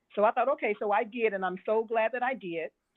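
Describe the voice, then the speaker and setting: With an ordinary speaking voice, a woman talks at a fairly quick pace, her fairly high pitch showing ordinary variation. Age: 60s. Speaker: experienced stock market investor. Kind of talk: interview.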